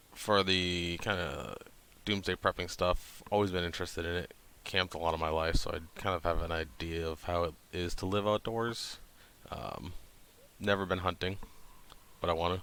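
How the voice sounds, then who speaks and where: A man with an American accent and a very deep, low pitch in a bright, sharp tone, monotone and flat, with long, frequent pauses, in a very clean recording with a silent background. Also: moderate pace. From New Hampshire. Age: 30s. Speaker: vlogger. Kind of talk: channel introduction monologue. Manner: hesitant, many fillers.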